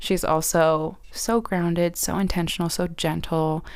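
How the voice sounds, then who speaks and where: In a very clean recording with a silent background, a woman with a plain, everyday voice speaks fairly slowly at a fairly low pitch with fairly even intonation. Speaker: podcast host. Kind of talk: casual podcast conversation.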